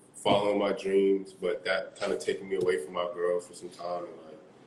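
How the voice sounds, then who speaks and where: A man's moderately paced speech in an American accent, with light background noise and audible room echo. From South Florida, Caribbean family. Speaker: singer and music producer; guest. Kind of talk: casual interview. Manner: animated. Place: home room. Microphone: video call.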